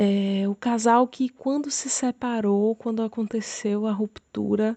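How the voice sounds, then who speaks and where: Very slow pace, dark, mellow tone and fairly even intonation. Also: woman, fairly high pitch for a woman, dry, close sound with no echo. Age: 30s. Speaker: churchgoer sharing marriage testimony. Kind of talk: testimony.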